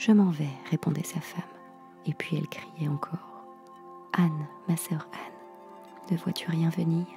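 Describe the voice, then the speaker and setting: Very slow speech with long, frequent pauses over background music. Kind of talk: sleep story reading, fairy tale read aloud. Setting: home studio, close microphone. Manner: dramatic storytelling, reading with character dialogue.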